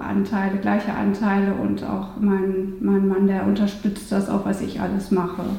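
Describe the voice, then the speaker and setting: A woman's fairly slow speech amid noticeable background noise and audible room echo. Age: 40s. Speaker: lawyer. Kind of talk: interview.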